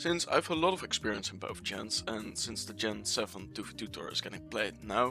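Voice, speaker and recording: A medium-pitched man with very wide pitch swings over music in the background. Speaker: Pokemon competitive video creator. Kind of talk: casual gaming commentary. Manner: fast.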